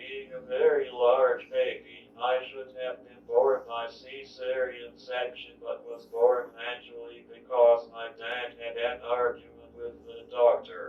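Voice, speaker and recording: A man with an American accent speaks at a fairly slow pace with hardly any pauses and big swings in loudness. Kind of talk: autobiographical testimony, read from written speech.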